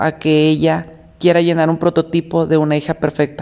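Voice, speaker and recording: A woman speaks with a Mexican accent. Her fairly low voice has a dark, mellow tone. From Mexico. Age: 30s. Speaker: podcast host. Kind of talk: solo monologue podcast.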